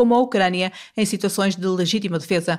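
This woman talks at a fairly quick pace. She speaks with a European Portuguese accent. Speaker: radio host. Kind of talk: scripted narration.

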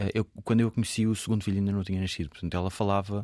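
On a very clean recording with a silent background, a man speaks at a fairly low pitch with a dark, mellow tone and fairly even intonation. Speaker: author. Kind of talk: casual chat.

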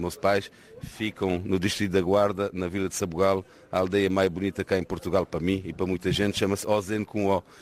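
Fairly quick and monotone, a man speaks at a very deep, low pitch with flat intonation. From France. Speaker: entrepreneur. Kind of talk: interview.

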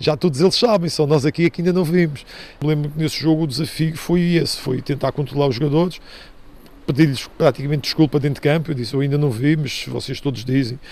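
Talking at a very fast pace, a man uses a fairly high pitch and ordinary pitch variation. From Madeira, Portugal. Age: 50s. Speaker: retired football referee. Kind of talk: interview testimony. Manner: halting with fillers.

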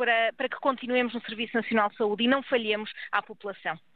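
A woman at a fairly quick pace, with fairly even intonation. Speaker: doctors' union president. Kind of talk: radio interview.

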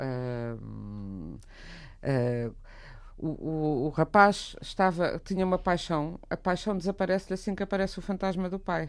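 Ordinary pitch variation comes through at a very slow pace on a very clean recording with a silent background. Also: woman. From Portugal. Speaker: writer. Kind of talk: radio discussion.

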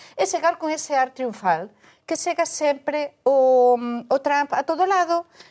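A woman's high-pitched voice with ordinary pitch variation and dry, close sound with no echo. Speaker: journalist. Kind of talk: panel discussion.

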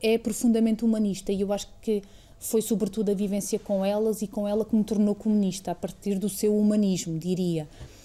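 Speaking at a fairly quick pace with hardly any pauses, a woman of medium pitch uses a dark, mellow tone and monotone, flat intonation. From Portugal, Alentejo (Estremoz). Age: 30s. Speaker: museum director, former member of parliament. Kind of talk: interview. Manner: halting, with frequent fillers.

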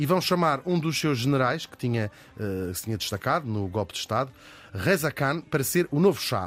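At a moderate pace, a man with a medium pitch speaks using very wide pitch swings. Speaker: podcast host. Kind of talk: scripted narration.

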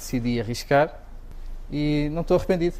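In a European Portuguese accent, a man speaks with fairly even intonation. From Algarve, Portugal. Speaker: chef. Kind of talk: interview answers.

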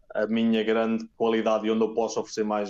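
A man speaks at a fairly quick pace. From Portugal, Oliveira do Bairro near Aveiro. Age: 30s. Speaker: tennis physiotherapist. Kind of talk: interview. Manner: halting, many repeated words.

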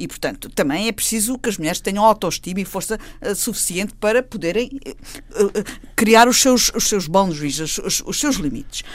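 A woman with an ordinary speaking voice talks at a moderate pace and medium pitch, with lively intonation. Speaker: panel commentator. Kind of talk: panel discussion.

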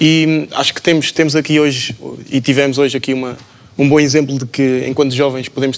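Fairly high in pitch, a man talks at a very fast pace with monotone, flat intonation. Noticeable background noise runs underneath. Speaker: management student. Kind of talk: panel discussion.

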